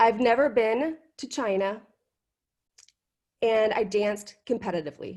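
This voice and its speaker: A woman speaks with ordinary pitch variation, leaving long, frequent pauses. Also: fairly high pitch for a woman. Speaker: university instructor. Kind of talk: class icebreaker on video call. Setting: video call. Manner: fast.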